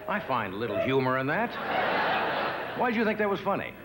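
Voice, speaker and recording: Loud background noise surrounds a man speaking at a fairly quick pace. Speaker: talk show host. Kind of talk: comedy monologue. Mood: dry, playful. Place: stage.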